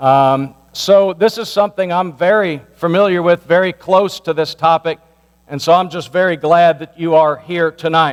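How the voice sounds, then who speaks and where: Loud and at a moderate pace, a man with an American accent speaks in a high pitch with fairly even intonation. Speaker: pastor. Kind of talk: community meeting address. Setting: church meeting with microphone.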